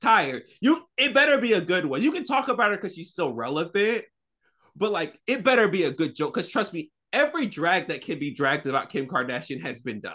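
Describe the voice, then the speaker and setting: A man with an American accent speaks fairly quickly in a high pitch, with very wide pitch swings. His voice is raised and projected, with a bright, sharp tone. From US South, Florida. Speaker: podcast co-host. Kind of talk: casual chat.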